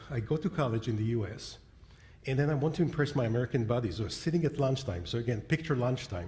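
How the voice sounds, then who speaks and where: A man speaks at a very fast pace with lively intonation. His voice is somewhat breathy. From Israel. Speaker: internet and business strategist, keynote speaker. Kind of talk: keynote speech. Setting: convention stage with audience.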